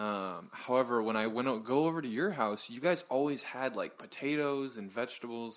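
A man with an ordinary speaking voice talks at a moderate pace in a medium pitch, with ordinary pitch variation and hardly any pauses. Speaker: podcast co-host. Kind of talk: casual chat.

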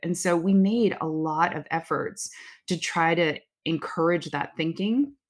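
A woman with a Californian accent has a fairly low pitch. She talks at a moderate pace with ordinary pitch variation. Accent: General American (California). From US West Coast, Bay Area (Oakland). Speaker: marketing executive. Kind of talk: interview.

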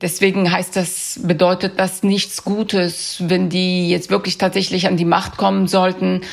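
A woman's medium-pitched, monotone, flat voice at a fairly slow pace with very even loudness, over noticeable background noise. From Afghanistan (Kabul), then Germany from age 13. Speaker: freelance journalist. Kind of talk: interview.

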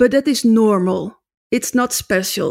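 On a very clean recording with a silent background, a woman with a Dutch accent speaks in a fairly high voice with ordinary pitch variation. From Netherlands. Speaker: drumming teacher and author. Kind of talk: interview. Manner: halting non-native English.

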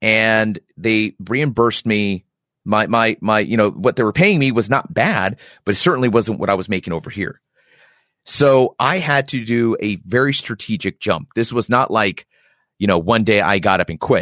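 A man's medium-pitched voice, an ordinary speaking voice, with ordinary pitch variation at a moderate pace, in a very clean recording with a silent background and a dry, close sound with no echo. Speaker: army reserve warrant officer and podcaster. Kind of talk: casual chat.

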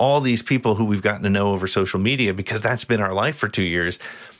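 Against a quiet background, a man with a plain, everyday voice speaks at a fairly low pitch with ordinary pitch variation. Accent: American. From New Jersey. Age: 50s. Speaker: podcaster. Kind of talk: casual chat.

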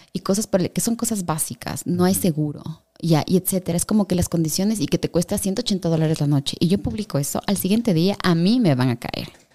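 Speaking at a fairly quick pace with hardly any pauses, a woman has a fairly low pitch, a dark, mellow tone and ordinary pitch variation, in a dry, close sound with no echo. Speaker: travel journalist. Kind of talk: interview conversation.

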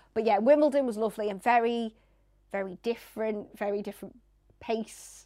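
Speaking fairly quickly in a northern English accent, a woman has a fairly high pitch and a dark, mellow tone. Her intonation stays fairly even on a very clean recording with a silent background. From northern England. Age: 40s. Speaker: radio presenter and sports journalist. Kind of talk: casual interview chat. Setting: studio.

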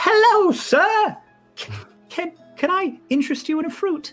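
A put-on character voice at a fairly slow pace over faint background music. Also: female-sounding voice, extremely high pitch for a woman. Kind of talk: polite sales pitch. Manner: cheerful, eager.

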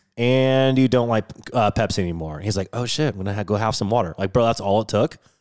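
A man speaks very fast in an animated tone, his fairly low pitch moving with ordinary variation. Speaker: podcast co-host. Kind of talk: casual chat. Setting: studio.

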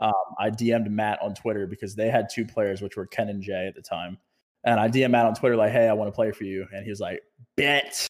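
A man with an American accent speaks in a normal speaking voice at a fairly quick pace, his fairly low pitch held to fairly even intonation, on a very clean recording with a silent background. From Virginia, US. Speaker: esports pro player. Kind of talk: casual chat.

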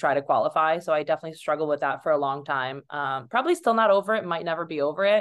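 A woman with a fairly low voice talks at a very fast pace. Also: quiet background. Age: 30s. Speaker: Olympic fencer and model. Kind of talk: casual chat.

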